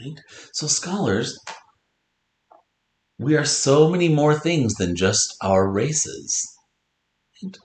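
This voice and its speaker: A man with an American accent speaks very slowly in a fairly high pitch, with long, frequent pauses. His pitch swings very widely and his loudness rises and falls in big swings. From North Dakota, US Upper Midwest. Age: 40s. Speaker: elementary school teacher. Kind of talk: lesson with read-aloud for pupils.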